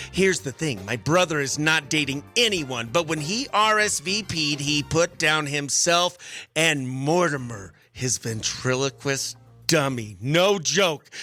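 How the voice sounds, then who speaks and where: With music in the background, a man speaks at a fairly slow pace, his fairly high pitch carried by lively intonation. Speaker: radio morning show host. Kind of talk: radio show segment, reading a listener letter.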